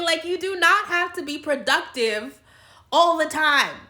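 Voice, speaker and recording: Raised and projected, the woman's voice is extremely high in pitch with a bright, sharp tone. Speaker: YouTuber. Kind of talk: casual vlog monologue. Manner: rambling with tangents.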